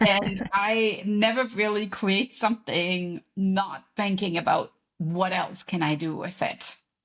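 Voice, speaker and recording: A woman's medium-pitched voice with a German accent, very slow in pace with fairly even intonation and hardly any pauses. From Germany. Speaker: podcast host and author, professor. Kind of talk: interview conversation.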